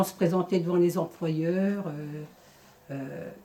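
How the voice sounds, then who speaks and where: Very slowly and in a flat monotone, a woman speaks with a fairly low pitch and a dark, mellow tone. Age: 50s. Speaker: former job-seeker, centre volunteer. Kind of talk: testimony.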